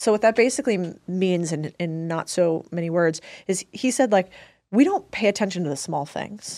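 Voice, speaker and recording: A woman talks with lively intonation in a dark, mellow tone. The recording is very clean, with a silent background. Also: medium pitch for a woman, moderate pace. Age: 30s. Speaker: investor and entrepreneur. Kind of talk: casual chat.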